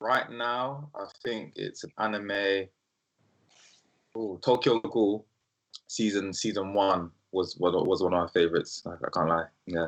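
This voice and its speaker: A man with a South London accent speaks fairly slowly in a fairly low pitch, with ordinary pitch variation and long, frequent pauses. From South London, England (Brixton). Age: 20s. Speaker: startup founder. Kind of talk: interview. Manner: casual with frequent fillers.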